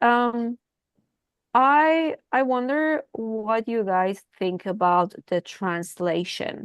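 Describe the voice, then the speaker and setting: Speaking very slowly with a Persian accent, a woman uses a fairly high pitch and lively intonation, her voice dry and close with no echo over a quiet background. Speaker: writing group member. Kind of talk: casual group discussion.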